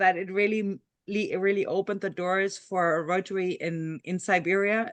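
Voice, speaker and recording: The voice has a German accent and fairly even intonation against a quiet background. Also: woman. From Germany. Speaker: meeting moderator. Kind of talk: online meeting discussion. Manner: halting.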